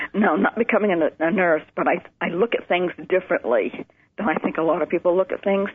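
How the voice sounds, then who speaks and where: Speaking with an American accent at a moderate pace, a woman has a fairly low pitch, ordinary pitch variation, and a plain, everyday voice. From Maine, US. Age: 60s. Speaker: nurse. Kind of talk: interview testimony.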